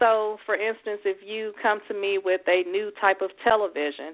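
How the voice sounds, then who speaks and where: A woman speaks with a Southern US accent. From Houston, Texas. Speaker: attorney. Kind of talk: radio interview. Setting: phone call.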